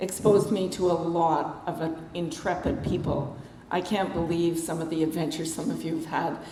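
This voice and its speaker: A woman with a Canadian accent speaks at a moderate pace with ordinary pitch variation. Audible room echo and noticeable background noise fill the clip. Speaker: author. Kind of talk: talk to a club. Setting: meeting hall with audience and microphone. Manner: casual, conversational.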